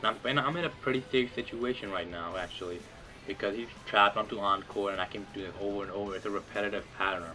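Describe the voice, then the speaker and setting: A fairly low male voice, very fast, with ordinary pitch variation over background music. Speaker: gaming commentator. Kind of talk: gameplay commentary. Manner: casual, filler-heavy.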